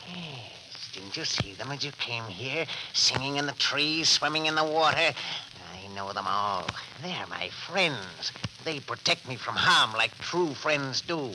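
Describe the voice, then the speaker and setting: A man uses a put-on character voice, fairly high in pitch. He goes at a fairly slow pace over light background noise. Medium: old radio play.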